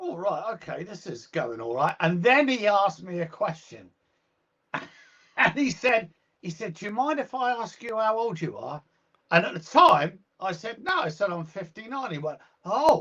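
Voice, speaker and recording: Raising and projecting his voice, a man with a British accent speaks at a high pitch and a moderate pace, with a bright, sharp tone, very wide pitch swings and big swings in loudness. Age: 60s. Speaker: guitarist and music teacher. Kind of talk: casual interview chat.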